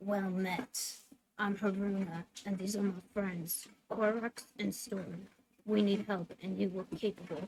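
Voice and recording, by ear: In a put-on character voice that sounds female, someone speaks raspily at a medium pitch and a fairly slow pace.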